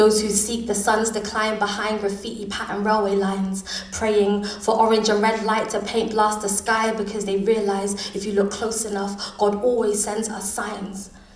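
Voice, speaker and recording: With noticeable background noise behind her, a woman speaks at a moderate pace and fairly high pitch, her intonation monotone and flat, with hardly any pauses. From London. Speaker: spoken word poet. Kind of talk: live spoken word poetry performance.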